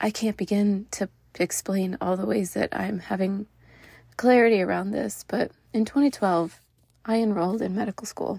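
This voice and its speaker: A woman speaks at a medium pitch and a moderate pace, her tone dark, mellow and somewhat breathy, with ordinary pitch variation. The recording is very clean, with a silent background and a dry, close sound with no echo. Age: 30s. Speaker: podcast host and Chinese medicine doctor. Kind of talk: personal monologue.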